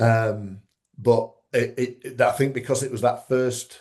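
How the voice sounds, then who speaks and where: In a Yorkshire accent, a man speaks with a dark, mellow, somewhat breathy tone and flat, monotone intonation. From Yorkshire, northern England. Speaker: strongman referee and former competitor. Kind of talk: casual interview chat. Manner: halting, many repetitions and fillers.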